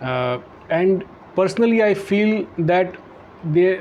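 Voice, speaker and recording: Noticeable background noise runs under the recording. A man speaks in a high pitch. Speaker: podcast host, author. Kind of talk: interview questions.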